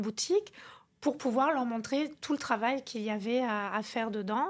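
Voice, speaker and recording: The pitch varies in an ordinary way at a moderate pace. The recording is very clean, with a silent background. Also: woman. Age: 50s. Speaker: interior decorator and business owner. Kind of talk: interview. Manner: halting.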